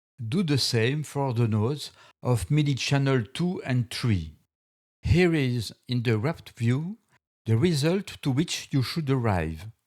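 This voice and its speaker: In a Belgian accent, a man of medium pitch speaks at a fairly slow pace with lively intonation, on a very clean recording with a silent background. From Belgium. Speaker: music software tutor. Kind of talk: software tutorial narration.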